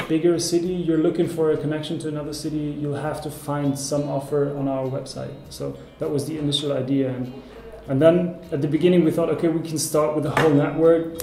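Delivery is fairly quick and monotone, with flat intonation. There is audible room echo and light background noise. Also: man. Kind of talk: interview answer. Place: meeting room.

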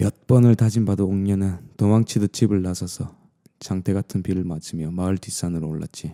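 In a dry, close sound with no echo, a man with a Gyeongsang accent speaks at a moderate pace, his very deep, low voice dark and mellow in tone with fairly even intonation. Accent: Gyeongsang dialect (southern Korea). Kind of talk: bedtime storytelling ASMR. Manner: dramatic, shifting into a pleading voice for the daughter's lines.

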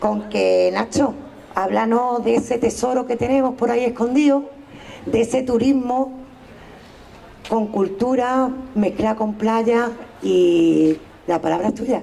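A woman at a very slow pace with long, frequent pauses, fairly high pitch, fairly even intonation and very even loudness. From Andalusia. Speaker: local politician, mayoral candidate; local politician, candidate. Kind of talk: political rally speech. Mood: warm, anecdotal. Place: street. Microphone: headset.

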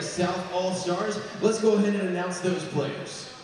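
The man's voice moves at a fairly slow pace with fairly even intonation. Strong room echo and light background noise surround it. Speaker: public address announcer. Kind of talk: arena announcement. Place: hall.

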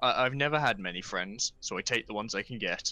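Speaking at a fairly quick pace with a British accent, a man has a medium-pitched voice with a bright, sharp tone and a dry, close sound with no echo. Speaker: gaming YouTuber. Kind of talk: casual chat.

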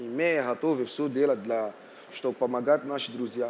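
Over light background noise, a man talks at a fairly slow pace and medium pitch with ordinary pitch variation. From Morocco. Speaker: architect; speaker. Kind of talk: panel talk. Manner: halting. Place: hall. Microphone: headset.

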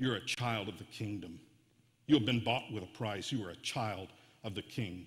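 Putting on a character voice, a man booms at a moderate pace. His pitch is fairly low. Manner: booming.

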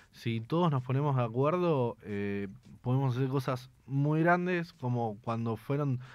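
Over a quiet background, a man talks with lively intonation in a dry sound with no echo. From Argentina, Buenos Aires west suburbs. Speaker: activist, grandson of a disappeared person. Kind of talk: interview. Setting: studio. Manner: halting. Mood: earnest, reflective. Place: studio. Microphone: studio mic.

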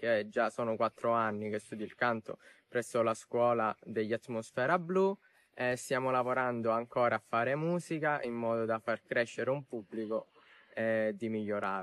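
A man speaks at a moderate pace with ordinary pitch variation. The background is quiet and the sound is dry with no echo. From Sicily. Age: young. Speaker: TV game show contestant and student. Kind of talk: interview answer. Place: open country. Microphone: lapel.

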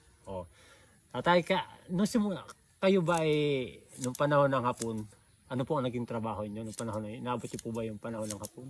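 A man's medium-pitched, animated voice at a very fast pace, with lively intonation, long and frequent pauses, and big swings in loudness. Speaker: vlogger interviewer. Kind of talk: casual respectful interview. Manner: polite, using 'po'.

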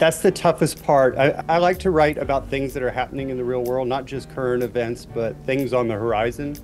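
Faint music plays in the background. Over it, a man speaks at a fairly quick pace with ordinary pitch variation. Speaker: remote guest. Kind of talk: interview answer. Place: home room. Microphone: earbuds.

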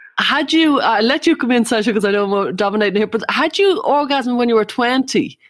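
With an Irish accent, a woman talks at a fairly quick pace with hardly any pauses, her high voice carrying lively intonation at a very even loudness. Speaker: psychotherapist and podcast co-host. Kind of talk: interview.

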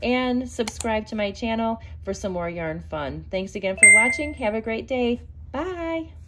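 Loud background noise runs behind a woman who talks at a fairly slow pace. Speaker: crochet vlogger. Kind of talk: casual vlog chat. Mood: excited, cheerful. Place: home room. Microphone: phone near.

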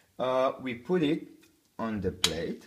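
A man speaks slowly with a fairly bright tone. His pitch makes big swings.

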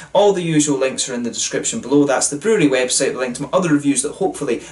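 The delivery is very fast. Intonation stays lively throughout. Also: man. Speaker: beer reviewer. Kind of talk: casual vlog chat. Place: home room. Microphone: camera far.

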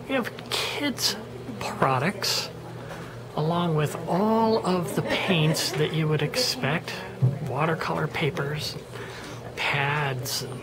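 With music in the background, a woman speaks at a very slow pace, leaving long, frequent pauses. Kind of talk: walking tour narration. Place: shop. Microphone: phone near.

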